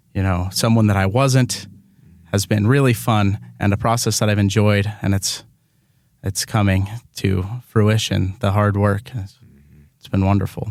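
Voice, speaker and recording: A man with a fairly low pitch speaks at a moderate pace with fairly even intonation. He leaves long, frequent pauses. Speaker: community theatre actor. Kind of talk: radio interview.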